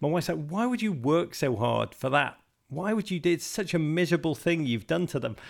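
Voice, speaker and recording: A man with a Liverpool accent and lively intonation. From England, Liverpool. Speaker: soccer podcast host and author. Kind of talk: interview. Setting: video call. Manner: animated.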